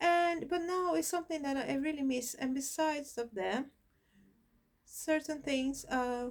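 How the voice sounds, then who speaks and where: A woman with a Brazilian Portuguese accent speaks at a fairly slow pace with a high pitch and lively intonation. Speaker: spiritism channel host. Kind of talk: personal introduction monologue. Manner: hesitant, with fillers.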